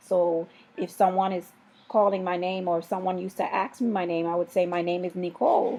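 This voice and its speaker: A woman talks at a fairly quick pace with fairly even intonation. Her voice sits at medium pitch and has a dark, mellow tone. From US Virgin Islands, Saint Thomas. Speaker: parent. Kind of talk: interview.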